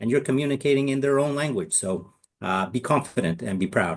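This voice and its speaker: In a Canadian accent, a man uses a normal speaking voice with ordinary pitch variation at a moderate pace against a quiet background. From Canada. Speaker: English lecturer. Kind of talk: interview.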